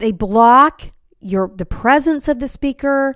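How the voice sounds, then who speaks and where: Loud and at a high pitch, a woman speaks fairly slowly in a dry, close sound with no echo. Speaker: keynote speaker and podcast host. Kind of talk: podcast monologue. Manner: loud, projecting.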